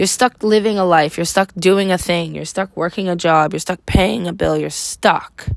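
A woman's unremarkable speaking voice at a medium pitch with ordinary variation, a moderate pace, and a very clean recording with a silent background. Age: 30s. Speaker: podcaster, mother of three. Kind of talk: casual monologue.

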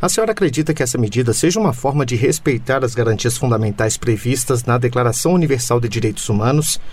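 At a very fast pace with hardly any pauses, a man talks at a medium pitch. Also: very even loudness. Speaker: radio editor, co-host. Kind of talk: radio interview.

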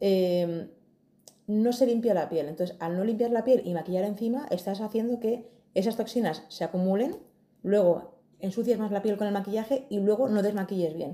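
Her dark, mellow tone carries a woman's medium pitch at a moderate pace with ordinary pitch variation. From Madrid, Spain. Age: 40s. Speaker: beauty and skincare specialist. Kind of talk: casual interview.

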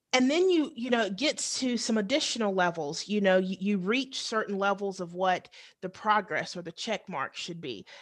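With an American accent and an unremarkable speaking voice, a woman at medium pitch talks at a moderate pace with lively intonation and hardly any pauses, on a very clean recording with a silent background. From US South. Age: 30s. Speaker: teacher. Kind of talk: podcast interview.

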